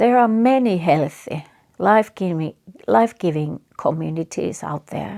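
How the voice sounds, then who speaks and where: A woman speaks at a moderate pace with a Finnish accent and a fairly low pitch. Her pitch swings very widely, and the sound is dry and close with no echo. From Finland. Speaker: psychotherapist. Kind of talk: reflective talk. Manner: halting.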